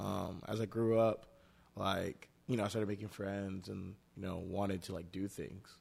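A man talks in a plain, everyday voice at a fairly low pitch. His pace is moderate and his intonation fairly even. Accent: American. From Dallas, Texas (Nigerian family). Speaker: entrepreneur. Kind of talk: interview.

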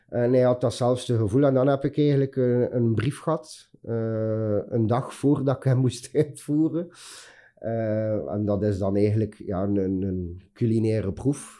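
Ordinary pitch variation over a quiet background. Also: man, medium pitch for a man. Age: 40s. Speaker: chef. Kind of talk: interview. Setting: office studio. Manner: halting.

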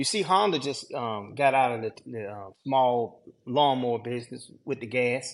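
A man's medium-pitched voice with a Southern US accent, at a moderate pace, with ordinary pitch variation, big swings in loudness and a quiet background. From Georgia, US South. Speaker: landscaper. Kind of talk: casual chat.

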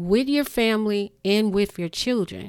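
Medium in pitch, a woman's voice shows ordinary pitch variation. The recording is very clean, with a silent background. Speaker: podcast host. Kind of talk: monologue rant on current events, urgent and preachy. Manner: emphatic, urgent, animated; repeats key words for emphasis, preachy.

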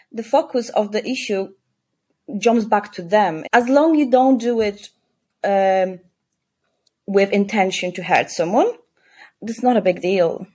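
A woman's fairly high, dark, mellow voice at a fairly slow pace, with a Polish accent. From Poland. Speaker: clinical support worker. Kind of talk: casual interview.

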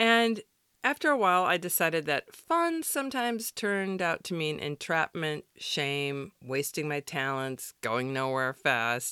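A woman with an American accent, fairly low-pitched, bright and sharp in tone, with very wide pitch swings, in a very clean recording with a silent background and a dry, close sound with no echo. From US Midwest, Wisconsin. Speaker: podcast host. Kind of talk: devotional podcast narration.

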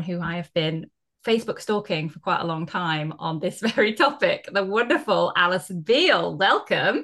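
Bright and sharp, a woman speaks with a British accent. Her intonation is lively and her pace moderate. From UK. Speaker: podcast host. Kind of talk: casual interview chat.

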